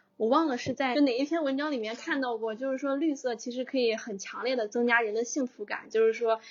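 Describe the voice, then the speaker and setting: A woman speaks fairly quickly and high in pitch, with hardly any pauses. Her intonation stays fairly even. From northern China. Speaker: podcast host. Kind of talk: casual chat.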